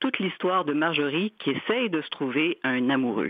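Her pitch very deep and low, a woman talks at a fairly slow pace with very wide pitch swings. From Ontario, Canada (Franco-Ontarian). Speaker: novelist. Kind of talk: interview.

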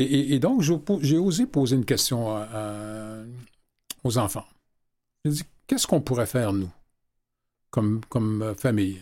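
A man's dark, mellow, medium-pitched voice at a fairly slow pace, with ordinary pitch variation and long, frequent pauses, in a very clean recording with a silent background. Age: 70s. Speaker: book publisher. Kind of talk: interview.

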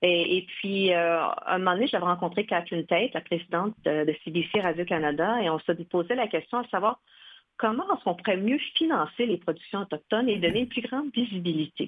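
With an unremarkable speaking voice at medium pitch, a woman talks at a fairly quick pace, her loudness very even and her pitch varying in an ordinary way. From Quebec, Odanak First Nation. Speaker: television network executive. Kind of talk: interview.

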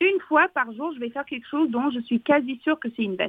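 Pitched high, a woman's voice carries lively intonation. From Canada, northern Alberta. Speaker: author and public speaking coach. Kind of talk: interview. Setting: phone call.

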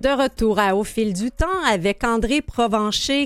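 A woman speaks at a fairly slow pace in a normal speaking voice, her pitch fairly high, the sound dry and close with no echo. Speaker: radio show host. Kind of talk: interview.

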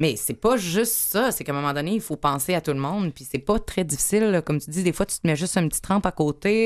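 A woman's fairly low voice with a Quebec accent, very fast pace and lively intonation. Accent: Québécois French. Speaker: radio host. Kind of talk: radio magazine show.

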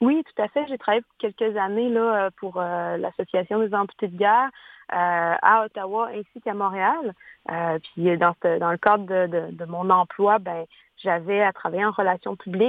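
Woman's medium-pitched voice with ordinary pitch variation, an unremarkable speaking voice. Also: fairly slow pace. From Quebec. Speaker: communications agency owner. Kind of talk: interview.

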